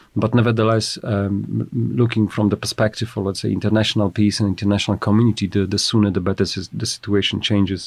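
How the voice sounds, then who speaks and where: Over a quiet background, a man talks at a very fast pace. His fairly low pitch shows vocal fry and fairly even intonation. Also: hardly any pauses. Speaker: government Arctic policy adviser. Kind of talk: interview.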